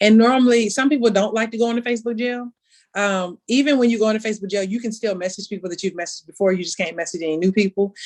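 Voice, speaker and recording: Speaking at a very fast pace, a woman with fairly high pitch shows ordinary pitch variation. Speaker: sales director. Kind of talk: training talk. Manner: casual.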